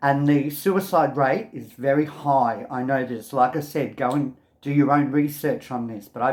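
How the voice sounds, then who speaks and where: A fairly slow, fairly high-pitched man with an Australian accent on a very clean recording with a silent background. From Australia, Melbourne. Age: 60s. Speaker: video blogger. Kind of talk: personal testimony to camera. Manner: casual, hesitant with many ums.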